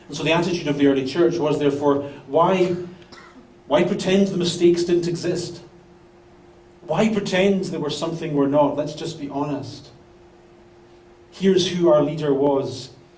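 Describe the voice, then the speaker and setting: Fairly high in pitch, a man speaks at a moderate pace with fairly even intonation and long, frequent pauses. Room echo is audible, and background noise is noticeable. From Britain. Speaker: pastor. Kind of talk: sermon. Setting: church.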